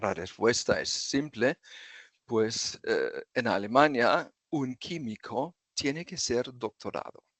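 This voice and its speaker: Speaking very slowly with a German accent, a man uses a medium pitch and ordinary pitch variation. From southern Germany (Freiburg). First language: German (speaking Spanish). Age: 60s. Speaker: retired chemical engineer. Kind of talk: interview. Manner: halting.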